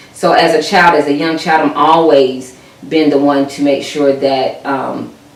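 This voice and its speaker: A woman speaks at a fairly slow pace with a very deep, low pitch and monotone, flat intonation. Noticeable background noise and audible room echo are present. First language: American Sign Language. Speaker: sign language interpreter. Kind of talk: interview. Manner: hesitant, many fillers.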